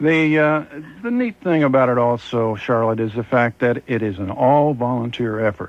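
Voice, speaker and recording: This is a plain, everyday voice from a man at a medium pitch. He speaks at a moderate pace with ordinary pitch variation. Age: 60s. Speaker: fair master of ceremonies. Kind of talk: radio interview.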